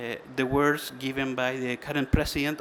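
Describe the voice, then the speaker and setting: The man speaks with a non-native accent. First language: Spanish. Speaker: trade association manager. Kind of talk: conference presentation. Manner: halting.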